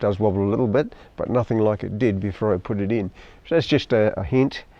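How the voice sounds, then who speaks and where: A man with an Australian accent, a fairly low pitch and a fairly quick pace. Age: 70s. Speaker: hobbyist boat owner and YouTuber. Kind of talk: casual vlog review. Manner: halting.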